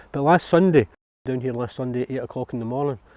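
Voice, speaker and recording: A man speaks at a medium pitch with a dark, mellow tone. The background is quiet. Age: 60s. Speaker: allotment holder. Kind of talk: interview.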